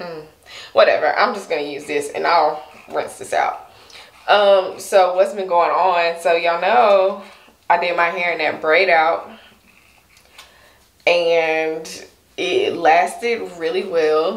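At a very slow pace with long, frequent pauses, a woman speaks at a fairly low pitch with fairly even intonation, with audible room echo. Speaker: hair vlogger. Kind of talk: casual vlog chat. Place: home room.

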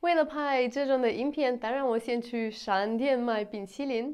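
In a Russian accent, a woman with a high pitch talks at a fairly slow pace with ordinary pitch variation over a quiet background. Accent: Russian-accented Mandarin. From Russia, Moscow. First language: Russian (speaking Chinese). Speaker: vlogger. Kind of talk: casual vlog. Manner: halting, with many fillers. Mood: cheerful, smiling. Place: home room.

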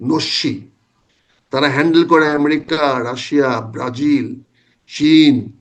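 Here is a man with a plain, everyday voice. His pitch is fairly high and his intonation fairly even. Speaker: retired army officer and former MP, political commentator. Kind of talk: political talk show interview.

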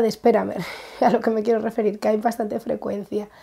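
A woman talks very fast in a dark, mellow tone at a fairly high pitch. Her intonation is monotone and flat, and the background is quiet. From Spain. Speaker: craft vlogger. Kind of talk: casual vlog. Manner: halting. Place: home room. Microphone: lapel.

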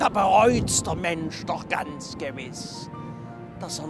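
A man with a Saxon accent speaks at a very slow pace. The sound is dry with no echo, and clear music plays in the background. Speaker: presenter and performer. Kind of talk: comic dialect monologue. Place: open country.

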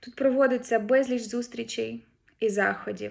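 At a moderate pace, a woman speaks in an ordinary speaking voice, recorded very cleanly against a silent background. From Ukraine. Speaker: head of a research institute branch. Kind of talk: formal greeting address. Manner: formal.

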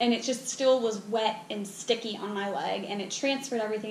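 In a room with audible echo and light background noise, a woman speaks with a fairly high pitch and fairly even intonation. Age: 20s. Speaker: beauty product reviewer. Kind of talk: casual talk to camera. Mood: mildly disappointed, frank. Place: home room. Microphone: camera far.

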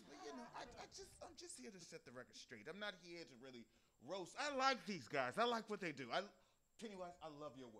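A man talks at a fairly quick pace with big swings in loudness over light background noise. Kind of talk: comedy roast routine. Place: stage. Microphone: handheld.

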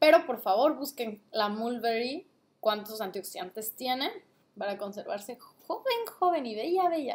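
The pace is fairly slow. The intonation is lively. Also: woman, high pitch for a woman. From Mexico, Guadalajara, Jalisco. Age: 20s. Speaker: vlogger and trader; vlogger. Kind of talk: casual product review vlog. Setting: at home, late at night. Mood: cheerful, playful. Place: home room. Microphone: webcam.

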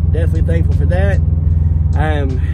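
Loud background noise surrounds a man talking at a fairly quick pace. The sound is dry, with no echo. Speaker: car vlogger. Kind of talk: casual vlog chat. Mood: warm, thankful. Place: car. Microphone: phone near.

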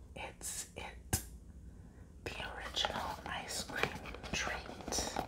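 Whispering and soft-spoken, the voice moves at a very slow pace. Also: woman. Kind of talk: soft-spoken whisper vlog, reading the packaging. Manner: soft whisper reading box text. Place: home room. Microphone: lapel.

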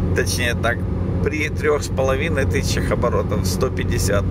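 Loud background noise surrounds a man speaking at a moderate pace. The sound is dry, with no echo. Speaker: driver reviewing his work car. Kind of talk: commentary. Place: car. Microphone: phone near.

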